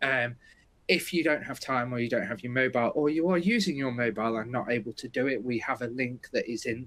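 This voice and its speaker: A man with a British accent talks at a fairly quick pace in a medium pitch. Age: 40s. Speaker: webinar host, software company. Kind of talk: webinar presentation.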